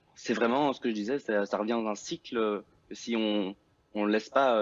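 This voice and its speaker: Pitched in the medium range, he has an ordinary speaking voice. His delivery is fairly quick, and the rise and fall of his pitch is ordinary. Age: 20s. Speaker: young worker. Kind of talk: TV debate.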